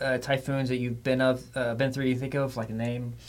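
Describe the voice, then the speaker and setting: A man with an American accent, medium pitch, and flat, monotone intonation over noticeable background noise. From Florida. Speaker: TV meteorologist, podcast host. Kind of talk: casual interview.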